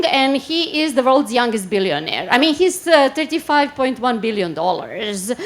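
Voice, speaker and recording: A woman's pitch swings very widely while noticeable background noise plays behind her. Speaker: marketing strategy director. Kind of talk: conference talk. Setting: stage with audience. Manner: fast.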